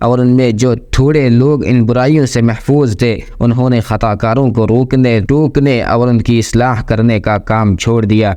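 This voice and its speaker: In a plain, everyday voice, the speaker keeps the intonation fairly even. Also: man. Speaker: Islamic preacher. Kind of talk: Urdu sermon explaining Quranic verses and hadith. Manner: formal, measured, religious oratory.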